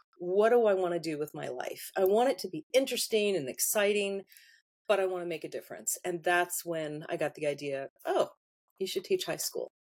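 The speaker has an unremarkable speaking voice with lively intonation. The pace is fairly quick. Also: woman. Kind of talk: casual interview chat.

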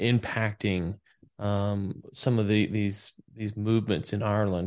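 A man with an American accent and a plain, everyday voice, fairly low in pitch, with fairly even intonation and a quiet background. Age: 30s. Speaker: podcast host. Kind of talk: interview.

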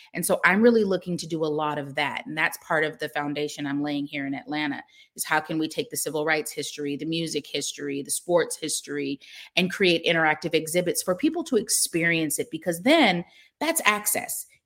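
In a normal speaking voice, a woman with an American accent talks at a fairly quick pace, pitched fairly low, with ordinary pitch variation. The recording is very clean, with a silent background. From US Pacific Northwest, Seattle. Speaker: tech startup founder. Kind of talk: interview.

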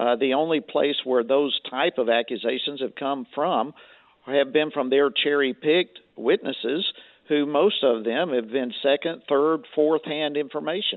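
A man with a Southern US accent, fairly slow pace, and ordinary pitch variation. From Georgia. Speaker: congressman. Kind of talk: political interview. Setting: phone call. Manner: animated.

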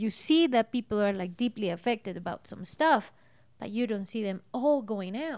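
Big swings in loudness mark a woman's fairly high voice, spoken with a Spanish accent, lively intonation and a moderate pace. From Colombia. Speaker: host's wife. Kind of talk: casual chat.

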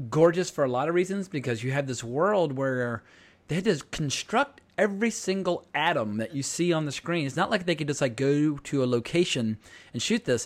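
A man talks with a normal speaking voice, fairly high in pitch. His pace is fairly quick and his intonation lively. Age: 40s. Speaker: podcast host. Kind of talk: casual chat. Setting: remote recording.

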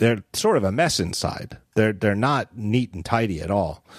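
This man has an unremarkable speaking voice with an American accent, medium pitch, and a moderate pace. The recording is very clean, with a silent background. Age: 40s. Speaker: podcast host. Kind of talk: casual chat.

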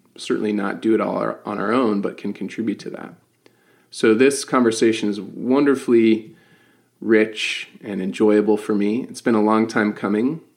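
In a very clean recording with a silent background, a man with an ordinary speaking voice speaks at a moderate pace, with fairly even intonation and a fairly low pitch. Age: 40s. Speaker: podcast host and coach. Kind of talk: casual interview chat.

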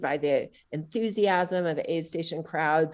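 Fairly low in pitch, a woman with an ordinary speaking voice talks at a moderate pace with fairly even intonation. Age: 50s. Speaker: trail running coach and writer. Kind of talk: casual interview.

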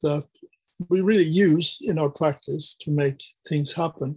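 A man's fairly high, somewhat breathy voice at a fairly slow pace, with a dry, close sound and no echo. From Sweden. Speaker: artist and academic. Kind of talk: casual interview.

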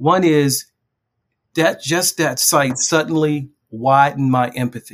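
Speaking at a fairly slow pace with an American accent, this man has an ordinary speaking voice, pitched fairly high, with ordinary pitch variation. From West Baltimore, US. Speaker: journalist and memoir author. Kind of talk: interview.

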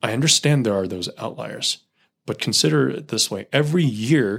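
On a very clean recording with a silent background, a man speaks with a Californian accent. His medium pitch carries lively intonation at a moderate pace. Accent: Californian American. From US West Coast, Silicon Valley. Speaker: spacecraft thermal engineer and youth group leader. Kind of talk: casual chat.

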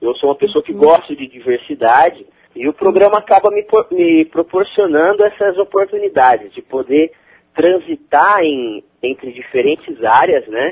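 Lively in intonation, a man speaks at a moderate pace with a high pitch. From interior of São Paulo state, Brazil. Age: 20s. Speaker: corporate trainee, electrical engineer. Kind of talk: interview.

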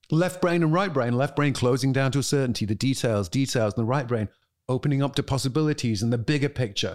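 Very fast and with a British accent, a man speaks at very even loudness and ordinary pitch variation on a very clean recording with a silent background. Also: medium pitch for a man. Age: 50s. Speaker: author and family law reform advocate. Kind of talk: interview conversation.

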